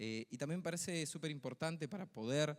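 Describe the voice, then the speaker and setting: Ordinary pitch variation in a man's speech. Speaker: secondary school teacher. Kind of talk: conference talk. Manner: fast; hesitant, many fillers.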